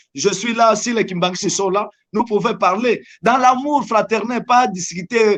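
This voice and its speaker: Speaking at a fairly slow pace, a high-pitched man with a Congolese accent varies his pitch in an ordinary way. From DR Congo. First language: Lingala (speaking French). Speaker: evangelist. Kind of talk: religious interview.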